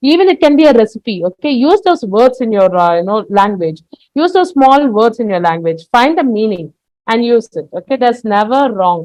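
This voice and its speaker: A woman speaks at a moderate pace, her pitch fairly high. Her voice swings very widely in pitch. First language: Tamil. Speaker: English teacher. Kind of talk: lecture. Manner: frequent fillers (okay, you know, uh).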